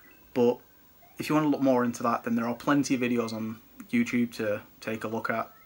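A man with a British accent speaks at a fairly quick pace in a monotone, flat intonation. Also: medium pitch for a man. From UK. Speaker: retro gaming YouTuber and collector. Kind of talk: product showcase video. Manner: casual, chatty. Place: home room. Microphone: phone near.

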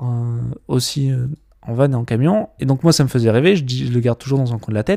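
This man has a medium pitch and a dark, mellow tone. He talks at a fairly quick pace, and the sound is dry and close with no echo. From French Alps (Gap). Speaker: videographer and documentary filmmaker. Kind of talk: casual podcast chat.

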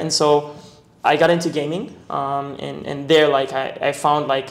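A man's fairly high-pitched, flat, monotone voice with audible room echo. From Israel. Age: 20s. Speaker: e-commerce entrepreneur. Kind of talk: casual interview. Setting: in a condominium. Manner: casual, filler-heavy. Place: home room. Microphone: lapel.

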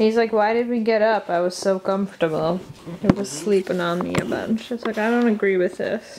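A woman at a fairly quick pace with ordinary pitch variation, over loud background noise. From Canada. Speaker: vlogger. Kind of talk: casual chat. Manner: animated. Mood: playful, amused. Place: home room. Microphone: phone near.

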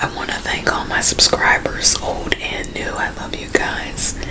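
Through loud background noise, a woman speaks at a moderate pace. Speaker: mukbang host. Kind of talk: casual vlog chat. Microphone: studio mic.

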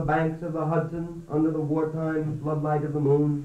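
At a moderate pace, a man with an American accent speaks in a fairly high pitch. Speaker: poet. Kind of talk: poetry reading.

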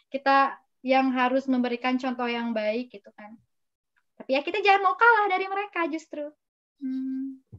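Against a quiet background, a woman speaks at a high pitch and a moderate pace with lively intonation and big swings in loudness. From West Java, Indonesia (Sundanese). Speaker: graduate student; webinar speaker. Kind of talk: interview with slide presentation. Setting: video call from her apartment. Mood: friendly, smiling. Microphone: video call.

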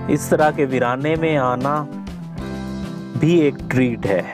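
Clear music plays in the background as a man speaks at a very slow pace, the sound dry with no echo. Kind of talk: travel commentary. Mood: calm, admiring. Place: car. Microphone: phone near.

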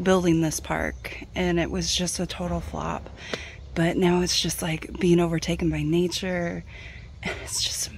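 At a fairly slow pace, a woman speaks in a dry sound with no echo over light background noise. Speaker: travel vlogger. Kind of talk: casual vlog chat. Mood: amazed, enthusiastic. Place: open country. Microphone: phone near.

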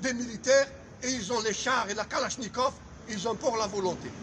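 Light background noise runs under the recording. A man speaks at an extremely high pitch. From Algeria. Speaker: sociology professor. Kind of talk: political commentary. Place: street. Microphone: phone near.

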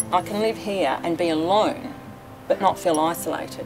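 A woman talks at a moderate pace. Behind her voice, clear music is playing. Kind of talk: interview answer. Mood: warm, positive. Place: garden.

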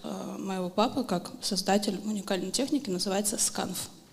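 Audible room echo and noticeable background noise surround a woman speaking at a medium pitch. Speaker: knife thrower and coach. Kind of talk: interview on stage.

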